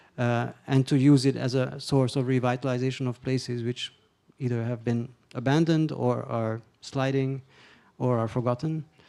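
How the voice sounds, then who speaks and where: In a Hungarian accent, a man with a dark, mellow tone speaks at medium pitch and moderate pace with monotone, flat intonation. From Hungary. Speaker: panelist, culture funding expert. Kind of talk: panel discussion question. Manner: halting, many fillers and restarts.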